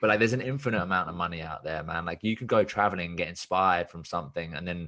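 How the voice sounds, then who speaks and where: Very deep and low, a man's voice carries a bright, sharp tone. He talks at a very fast pace. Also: quiet background. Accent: southern English. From southern England (Watford). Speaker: business coach and podcaster. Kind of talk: casual chat. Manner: animated.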